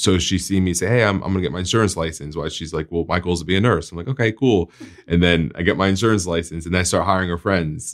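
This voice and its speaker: In a New Jersey accent, a man talks at a very fast pace with a very deep, low pitch. The recording is very clean, with a silent background. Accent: New Jersey American. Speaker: podcast host, insurance agent. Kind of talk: interview.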